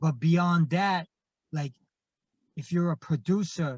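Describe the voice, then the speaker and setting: A man with a Japanese accent and a high pitch speaks at a fairly slow pace with fairly even intonation, the sound dry and close with no echo against a quiet background. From Japan (Kobe). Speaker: hip hop artist and producer. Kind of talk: interview. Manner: halting, many fillers.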